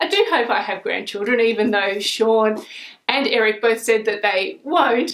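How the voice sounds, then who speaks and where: Speaking with an Australian accent, a woman uses lively intonation and a fairly high pitch at a moderate pace. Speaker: book vlogger. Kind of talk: casual talk to camera, book review.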